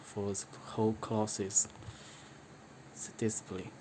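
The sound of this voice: Speaking at a fairly slow pace, a man has a fairly low pitch, a slightly mellow tone, and little pitch movement.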